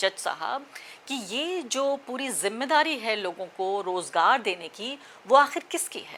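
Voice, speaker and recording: With very wide pitch swings, a woman talks at a high pitch. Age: middle-aged. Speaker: journalist / news commentator. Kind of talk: opinion commentary. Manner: impassioned, direct address.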